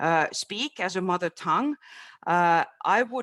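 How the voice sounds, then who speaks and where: Heard on a very clean recording with a silent background and a dry, close sound with no echo, a woman with a Finnish accent speaks at a medium pitch and a fairly slow pace with lively intonation. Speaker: webinar panelist. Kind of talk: panel discussion. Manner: halting.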